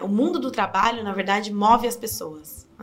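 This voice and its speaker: A woman's voice at a moderate pace with ordinary pitch variation over noticeable background noise. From Brazil, Sorocaba (São Paulo state). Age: 20s. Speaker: political candidate. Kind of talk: interview.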